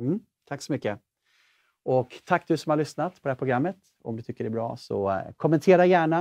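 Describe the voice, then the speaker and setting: A man with fairly high pitch has an ordinary speaking voice and lively intonation. The background is quiet. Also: fairly quick pace. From Sweden. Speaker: talk show host. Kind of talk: interview conversation; show outro. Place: studio. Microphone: lapel.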